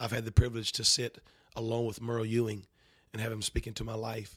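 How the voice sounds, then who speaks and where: A man speaks at a fairly quick pace and a medium pitch. His delivery is somewhat breathy, with monotone, flat intonation. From North Carolina. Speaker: preacher. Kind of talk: interview.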